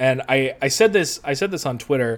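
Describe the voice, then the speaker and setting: A man with a Western New York accent and a fairly high pitch. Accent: Western New York American. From US Northeast, Western New York (Rochester area). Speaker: soccer writer. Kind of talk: casual interview.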